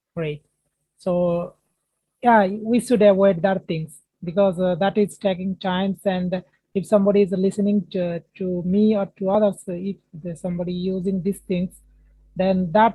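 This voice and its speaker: A woman with an Indian accent speaks at a medium pitch in a monotone, flat intonation. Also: moderate pace. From India, Odisha. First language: Indian language. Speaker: English learner. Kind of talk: casual conversation practice. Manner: halting, many filler words.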